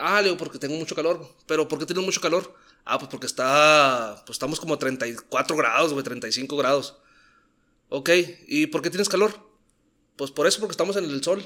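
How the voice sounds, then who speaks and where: The tone is bright and sharp. Pitch rises and falls by an ordinary amount. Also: man, moderate pace. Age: 30s. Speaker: podcast guest. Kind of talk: casual chat.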